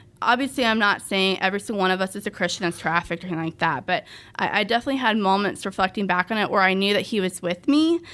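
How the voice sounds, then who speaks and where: On a very clean recording with a silent background, a woman speaks at a medium pitch with a bright, sharp tone. She goes at a very fast pace with hardly any pauses. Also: ordinary pitch variation. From Dallas-Fort Worth area, Texas (adopted from Russia as infant). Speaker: trafficking survivor and advocate. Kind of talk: testimony interview. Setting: studio.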